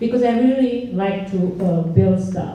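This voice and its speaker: A woman with a Romanian accent, fairly high-pitched, at a moderate pace with ordinary pitch variation, plus noticeable background noise and audible room echo. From Romania (Transylvania). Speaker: engineer and instructor. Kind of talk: panel talk. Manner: halting.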